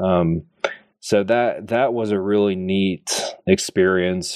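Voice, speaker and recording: A man with an American accent speaks at a very deep, low pitch with fairly even intonation. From US. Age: 20s. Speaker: budget and policy analyst. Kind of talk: interview. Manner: hesitant with fillers and repeats.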